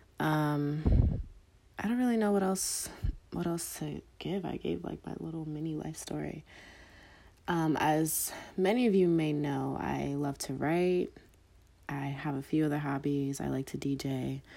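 Her dark, mellow tone sits at a very deep, low pitch for a woman. She speaks fairly slowly, with long, frequent pauses. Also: ordinary pitch variation. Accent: American. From US Northeast, Philadelphia and Delaware. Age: 20s. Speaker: podcast host. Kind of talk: casual monologue answering listener questions. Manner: many filler ums, conversational.

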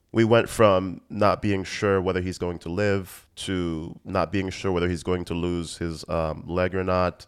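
Speaking at a fairly slow pace, a man with a very deep, low pitch keeps his intonation monotone and flat. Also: hardly any pauses, quiet background. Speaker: podcast host. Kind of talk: casual solo monologue. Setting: podcast recording.

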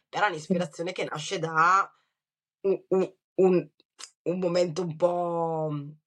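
With a Lombard accent, a woman speaks at a fairly slow pace. Her pitch is fairly low and her intonation fairly even. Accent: Brescian. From Brescia, northern Italy. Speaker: writer. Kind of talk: interview.

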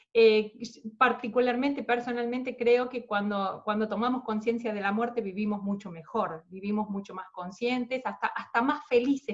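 This woman's voice is fairly high and somewhat breathy, with fairly even intonation. She talks at a moderate pace. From Argentina. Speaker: podcast host. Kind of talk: interview.

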